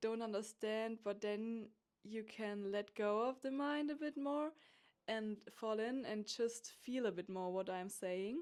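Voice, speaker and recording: A woman talks in a German accent at a fairly high pitch. Her pace is fairly slow, with ordinary pitch variation. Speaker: podcast host. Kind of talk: spiritual monologue. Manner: halting.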